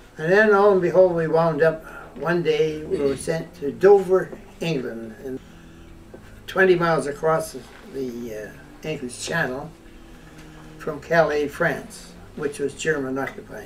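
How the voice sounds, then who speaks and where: A man's fairly high voice at a fairly slow pace, with long, frequent pauses over noticeable background noise. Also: ordinary pitch variation. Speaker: war veteran. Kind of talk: personal war memoir.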